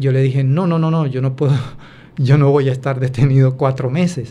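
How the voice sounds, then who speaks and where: The voice is somewhat breathy, moving at a moderate pace with fairly even intonation through audible room echo. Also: man. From Colombia, Buenaventura. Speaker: former migrant. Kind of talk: interview testimony. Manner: halting, many fillers.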